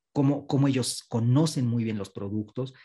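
This is a man with a dark, mellow tone. His voice is somewhat breathy. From Mexico. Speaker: customer experience consultant. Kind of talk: panel discussion. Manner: animated.

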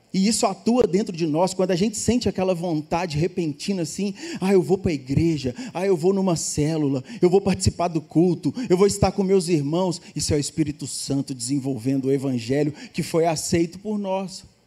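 Here a man talks at a moderate pace with hardly any pauses. His pitch is high, with ordinary pitch variation. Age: 40s. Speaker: pastor. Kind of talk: sermon.

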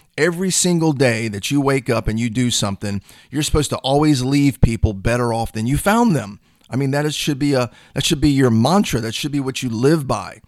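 A man speaks at a fairly quick pace in a plain, everyday voice, his medium pitch carrying ordinary pitch variation. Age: 50s. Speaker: sales coach and podcast host. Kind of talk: solo podcast monologue. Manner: casual, conversational with fillers.

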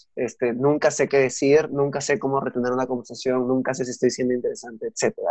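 A man's medium-pitched voice, fairly even in intonation, at a very fast pace. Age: young. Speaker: podcast host, guest. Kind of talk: casual chat.

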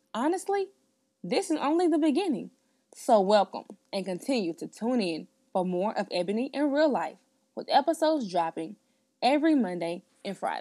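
Her pitch is fairly high and swings very widely, her tone dark and mellow, as this woman talks at a moderate pace with long, frequent pauses on a very clean recording with a silent background. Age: 20s. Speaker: podcast host. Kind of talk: scripted monologue.

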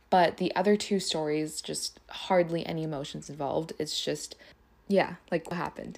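The woman's fairly low-pitched voice holds a moderate pace. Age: 20s. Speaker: podcast host, blogger. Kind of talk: casual monologue. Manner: animated.

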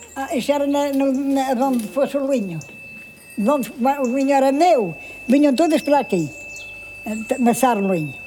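Noticeable background noise sits behind a woman with a high pitch and ordinary pitch variation. She talks at a fairly slow pace, leaving long, frequent pauses. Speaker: elderly villager. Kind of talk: personal testimony.

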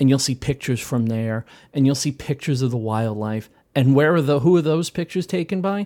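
With lively intonation and a dark, mellow tone, a man talks at a very fast pace on a very clean recording with a silent background. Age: 40s. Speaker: maker. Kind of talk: casual chat.

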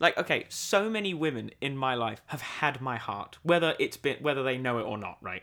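A man with a British accent sounds animated, his pitch swinging very widely. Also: medium pitch for a man, moderate pace, hardly any pauses. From Britain. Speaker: podcast co-host. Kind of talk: casual chat. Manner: animated, joking.

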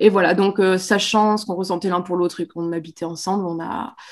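The recording is very clean over a silent background, and the woman's medium-pitched voice keeps a fairly even intonation. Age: 30s. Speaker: pregnant mother, social media creator. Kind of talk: interview. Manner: hesitant, many fillers.

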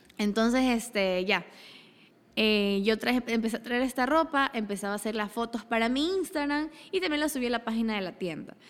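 A woman's fairly high voice, fairly quick and animated, with lively intonation, on a very clean recording with a silent background. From Ecuador, Daule (rural Guayas coast). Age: 20s. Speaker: entrepreneur. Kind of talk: interview.

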